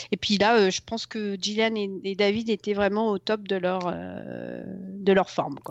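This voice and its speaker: A woman's medium-pitched voice at a fairly slow pace, flat and monotone, with hardly any pauses. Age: 40s. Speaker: TV series superfan. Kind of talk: casual interview. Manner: halting.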